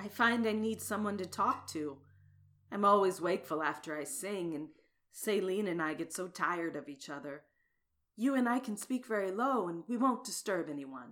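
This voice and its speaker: Her intonation is lively as a woman speaks at a medium pitch and moderate pace. The recording is very clean, the background silent. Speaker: actress voicing characters. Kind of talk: dramatized reading of dialogue. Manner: animated, bold, teasing.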